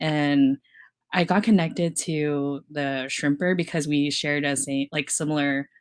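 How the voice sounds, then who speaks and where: A fairly slow delivery with an American accent, on a very clean recording with a silent background. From US South. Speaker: filmmaker. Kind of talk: panel discussion. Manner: halting.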